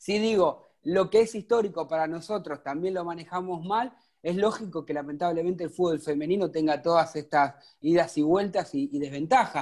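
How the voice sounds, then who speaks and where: A man's high-pitched voice at a moderate pace with ordinary pitch variation and hardly any pauses on a very clean recording with a silent background. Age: 40s. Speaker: podcast host. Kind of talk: interview.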